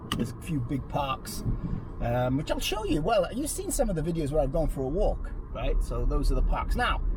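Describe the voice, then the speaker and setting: A man speaks with a Welsh accent at a moderate pace. Music plays in the background, and there is audible room echo. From Wales, Swansea. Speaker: accountant and business coach. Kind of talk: casual vlog. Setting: in a car. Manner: hesitant, many fillers.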